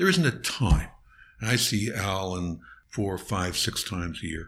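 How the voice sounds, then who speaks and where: A man with a Canadian accent, fairly low in pitch, bright and sharp in tone, with ordinary pitch variation and a fairly slow pace. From Ontario, Canada (Niagara Falls). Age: 70s. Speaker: criminal defense lawyer. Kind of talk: interview. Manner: halting, frequent fillers.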